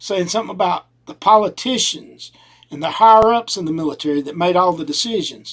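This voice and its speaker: Speaking at a fairly quick pace in a strong Southern US accent, a man with a high-pitched voice shows ordinary pitch variation and big swings in loudness. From US South. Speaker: podcast host. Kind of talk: opinion monologue. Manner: casual.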